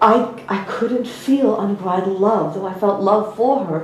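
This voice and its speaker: Noticeable background noise and audible room echo fill the recording. A woman with an American accent talks at a fairly slow pace, medium in pitch, with ordinary pitch variation. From US. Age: 50s. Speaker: spiritual teacher. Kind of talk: personal story in a talk.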